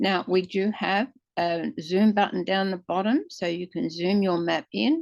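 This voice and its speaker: A woman with an ordinary speaking voice, medium pitch and lively intonation, against a quiet background. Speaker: software demonstrator. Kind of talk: tutorial.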